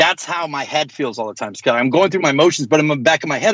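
Against a quiet background, a man talks at a very fast pace. His fairly high voice has lively intonation. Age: 40s. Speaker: hardcore band vocalist and lyricist. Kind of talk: casual chat. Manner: animated.

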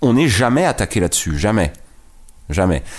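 A man speaks at a fairly quick pace. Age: 40s. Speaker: presidential candidate. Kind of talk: interview.

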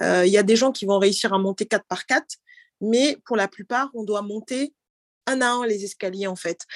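A woman talks in a normal speaking voice at medium pitch with ordinary pitch variation. The background is quiet, with a dry, close sound and no echo. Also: moderate pace. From France, Normandy (Cameroonian heritage). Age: young. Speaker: bank deputy director. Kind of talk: casual interview. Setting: video call.

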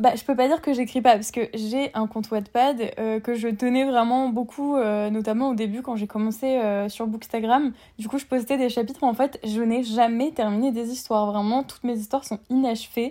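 A woman's voice carries a dark, mellow tone at a fairly high pitch. Her intonation stays fairly even. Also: moderate pace. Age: 20s. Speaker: literature student and book influencer. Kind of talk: casual chat. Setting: remote recording.

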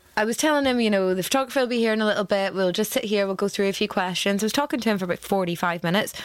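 Delivered very fast with hardly any pauses, the speech has a Northern Irish accent, ordinary pitch variation and very even loudness. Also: woman, medium pitch for a woman. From Northern Ireland. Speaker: cookery workshop leader and caterer. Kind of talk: casual chat.

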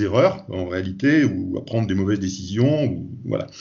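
A somewhat breathy man talks at a moderate pace. His pitch variation is ordinary. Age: 50s. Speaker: safety consultant. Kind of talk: interview. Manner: halting, many repetitions.

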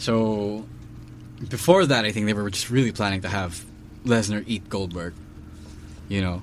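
Audible room echo surrounds a man with a fairly low pitch and ordinary pitch variation who speaks at a moderate pace with long, frequent pauses. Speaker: wrestling podcast co-host. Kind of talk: casual chat.

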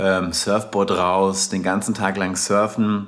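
A man speaks at a fairly low pitch with a slight Hessian accent. Noticeable noise sits in the background. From southern Hesse, Germany (Darmstadt). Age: 30s. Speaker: travel and surf podcast host. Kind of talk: casual storytelling monologue; scripted narration.

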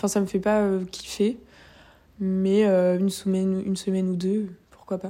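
A woman at medium pitch has a dark, mellow tone and flat, monotone intonation, with long, frequent pauses. The recording is very clean and the background silent. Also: moderate pace. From France, Angers. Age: 20s. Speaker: fashion communication student. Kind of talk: casual chat.

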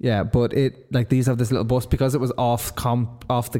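This man has a medium-pitched voice with a dark, mellow tone. He sounds playful. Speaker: podcast co-host. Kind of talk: casual banter. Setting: echoey studio. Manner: joking, playful.

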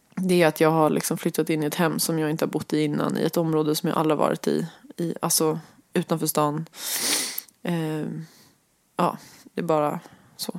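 A woman's very deep, low voice at a fairly quick pace, broken by long, frequent pauses. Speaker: podcast co-host, one half of a couple. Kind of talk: intimate relationship conversation. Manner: fast and loud; animated, lively pitch.

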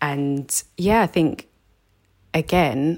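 Recorded very cleanly against a silent background, a woman speaks with a London accent. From South London. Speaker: counselor. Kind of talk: casual chat.

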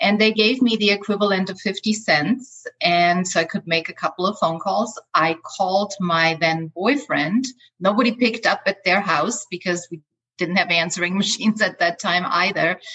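Speaking at a moderate pace with an Austrian accent, a woman has medium pitch and ordinary pitch variation. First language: German. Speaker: life coach. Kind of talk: interview. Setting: video call.

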